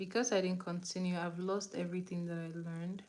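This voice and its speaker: With a Nigerian accent, a woman speaks at a medium pitch in a monotone, flat delivery. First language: Igbo. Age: 20s. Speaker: beauty livestreamer. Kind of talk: makeup tutorial livestream. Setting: live stream on camera. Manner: casual, chatty.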